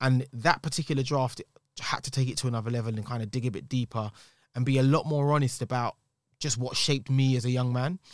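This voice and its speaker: A man in a London accent, very fast, with fairly even intonation, in a very clean recording with a silent background. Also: medium pitch for a man. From East London. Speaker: singer-songwriter and actor. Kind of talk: casual chat. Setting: studio.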